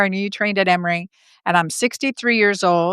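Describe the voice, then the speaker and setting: In a very clean recording with a silent background and a dry, close sound with no echo, a woman has an unremarkable speaking voice, medium in pitch with fairly even intonation. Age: 50s. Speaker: gynecologist. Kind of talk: podcast interview.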